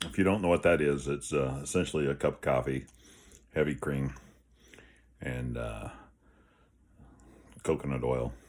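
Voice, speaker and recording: A man's very deep, low voice with vocal fry and ordinary pitch variation, at a moderate pace with long, frequent pauses. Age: 50s. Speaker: health vlogger. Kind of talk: casual vlog. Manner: halting.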